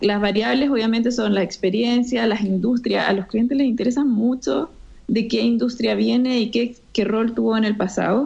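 A woman with a plain, everyday voice and fairly high pitch speaks at a moderate pace, with ordinary pitch variation and very even loudness. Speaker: entrepreneur, co-founder. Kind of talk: interview.

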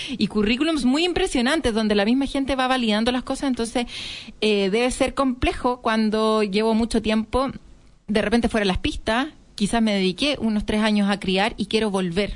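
At a moderate pace, a woman with a fairly high pitch speaks in a normal speaking voice, with very even loudness and ordinary pitch variation. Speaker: radio host, entrepreneur. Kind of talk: radio interview.

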